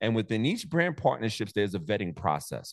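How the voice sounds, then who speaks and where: With a New York accent, a man speaks fairly quickly in an animated tone with very wide pitch swings, the sound dry and close with no echo over a quiet background. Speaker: motivational content creator. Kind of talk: casual chat. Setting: video call.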